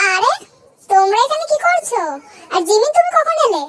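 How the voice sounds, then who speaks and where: Using a put-on character voice, a woman squeaks at an extremely high pitch with very wide pitch swings and a moderate pace. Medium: read story. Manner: gentle, indulgent.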